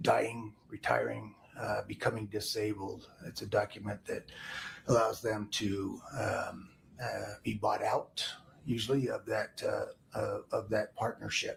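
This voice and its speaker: A man talks quietly at a fairly slow pace. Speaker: insurance and investment adviser, trial witness. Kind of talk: witness testimony. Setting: courtroom. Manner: halting, many fillers. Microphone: far from the mic.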